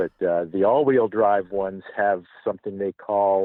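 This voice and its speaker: Here a man talks at a fairly low pitch. His pace is very slow. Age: 60s. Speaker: podcast guest, vanity plate owner. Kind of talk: casual interview. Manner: halting, with fillers.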